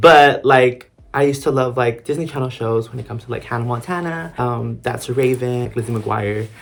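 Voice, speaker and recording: A man with an unremarkable speaking voice talks at a medium pitch. His pace is fairly quick, with hardly any pauses. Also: fairly even intonation. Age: 20s. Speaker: theater student. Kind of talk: casual talk to camera.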